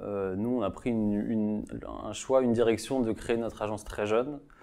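In a dark, mellow tone, a man speaks at a fairly low pitch with fairly even intonation. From Marseille, France; France. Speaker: architect. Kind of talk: interview. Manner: halting, many repetitions. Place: office. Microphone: lapel.

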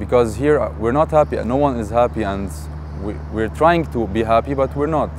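The recording is dry with no echo, with a moderate pace and noticeable background noise. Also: man. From Beirut, Lebanon. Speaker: marketing and advertising professional. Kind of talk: interview answer. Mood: frustrated, sad about his country. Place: garden. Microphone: lapel.

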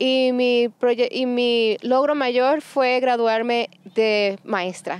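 Faint music in the background behind a woman's fairly high, slightly mellow voice with ordinary pitch variation

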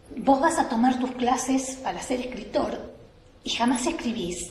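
Very slow speech with light background noise and audible room echo. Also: woman. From Buenos Aires, lives in La Rioja. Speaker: writer and writing workshop coordinator. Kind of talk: talk-workshop on writing. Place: hall. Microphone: camera far.

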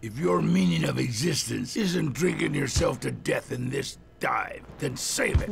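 A man speaks at a moderate pace. Clear background noise runs behind him. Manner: irritable, crude.

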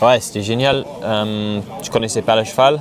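An English accent with fairly even intonation at a moderate pace, dry with no echo but with noticeable background noise. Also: man. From England. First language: English (speaking French). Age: 30s. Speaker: jockey; interviewee. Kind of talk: interview; interview answer. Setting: outdoors. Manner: halting. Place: open country. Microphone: lapel.

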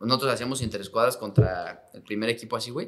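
The speech comes at a very fast pace. Faint music plays in the background. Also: man. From Mexico. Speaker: professional footballer; guest. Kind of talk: casual chat. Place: studio. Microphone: studio mic.

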